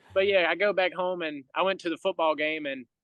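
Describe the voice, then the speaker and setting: A man with a Southern US accent, at a moderate pace and with ordinary pitch variation. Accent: Southern US country. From US South, rural Georgia. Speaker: baseball entertainer. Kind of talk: podcast interview.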